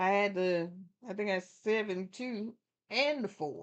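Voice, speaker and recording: A woman is speaking. Her pace is fairly slow. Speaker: horse racing livestream host. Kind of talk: live racing commentary and handicapping chat. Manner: casual, thinking aloud; mumbling.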